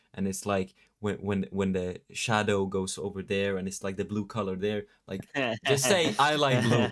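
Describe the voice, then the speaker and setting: In a Norwegian accent, a man talks at a moderate pace. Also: fairly low pitch for a man, ordinary pitch variation. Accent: non-native English, Norwegian. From Norway. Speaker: YouTube channel host. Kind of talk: casual chat. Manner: halting, frequent stammered repeats.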